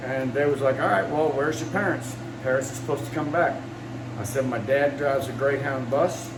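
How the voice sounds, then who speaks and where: A man speaks fairly quickly with mostly level intonation, with clear background noise and audible echo from the room. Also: medium pitch for a man. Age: 60s. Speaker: scrap metal recycler. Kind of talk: casual storytelling monologue. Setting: indoor shop.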